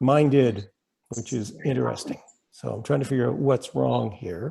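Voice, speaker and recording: Pausing often and at length, a man with a Canadian accent talks at a moderate pace. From Canada. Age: 60s. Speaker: club speaker on climate action. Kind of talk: presentation. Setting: video call. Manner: casual, conversational.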